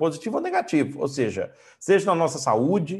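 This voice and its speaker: Against a quiet background, a man speaks in a plain, everyday voice at a moderate pace and a fairly high pitch. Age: 40s. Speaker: coach and trainer. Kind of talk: online lecture.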